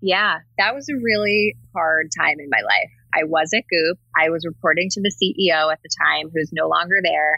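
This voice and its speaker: A woman with an American accent talks in a plain, everyday voice at a moderate pace and a fairly low pitch, with hardly any pauses, ordinary pitch variation and big swings in loudness. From New Jersey. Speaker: marketing lead. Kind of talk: interview.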